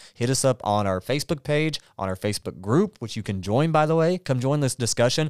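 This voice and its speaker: A man at medium pitch talks at a fairly quick pace with hardly any pauses, lively intonation and an Appalachian accent, in a dry, close sound with no echo. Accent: Appalachian Southern US. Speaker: podcast co-host, church member. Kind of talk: casual chat. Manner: stutters occasionally.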